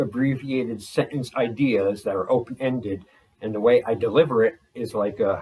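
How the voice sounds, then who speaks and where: A somewhat breathy man's voice of medium pitch, moderate in pace, with ordinary pitch variation. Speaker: vlogger. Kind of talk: casual monologue. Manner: energetic, explosive.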